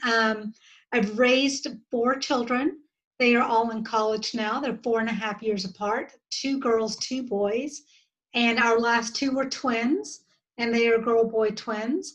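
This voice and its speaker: In a Southern US accent, a woman talks at a fairly slow pace with a fairly high pitch and fairly even intonation against a quiet background. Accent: Southern US drawl. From US South (Georgia, Florida, Alabama). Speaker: podcast guest, parent education advocate. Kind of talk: casual interview chat.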